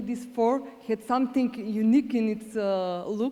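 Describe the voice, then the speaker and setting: With a Macedonian accent, a woman speaks with fairly even intonation. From North Macedonia. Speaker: award presenter, visual artist. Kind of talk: award ceremony speech.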